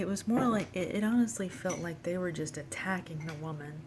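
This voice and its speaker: A woman whispers quietly. There is audible room echo around her voice. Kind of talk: casual vlog monologue. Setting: at home at the computer. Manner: whispering, quiet; halting, many fillers.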